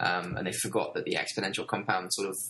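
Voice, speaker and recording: A man speaks with a British accent. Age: 20s. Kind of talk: podcast interview.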